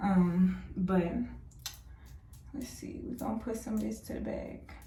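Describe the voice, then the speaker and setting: A woman talks at a fairly slow pace, her loudness swinging widely, with room echo audible. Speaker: beauty vlogger. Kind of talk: tutorial. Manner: casual, chatty.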